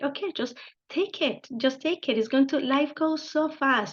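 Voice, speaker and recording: With a Spanish accent, a woman speaks at a moderate pace with ordinary pitch variation. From Colombia, Bogota. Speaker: engineering director. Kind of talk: interview. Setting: video call. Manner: halting.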